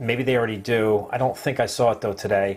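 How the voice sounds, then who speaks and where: This man has a New Jersey accent and a medium-pitched voice. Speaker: online marketing affiliate. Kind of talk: casual live stream chat. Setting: live video stream.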